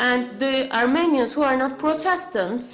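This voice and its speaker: A woman with a high voice speaks at a fairly slow pace and with ordinary pitch variation, with audible room echo and noticeable background noise. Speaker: conference interpreter or symposium speaker. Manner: halting, many fillers and restarts.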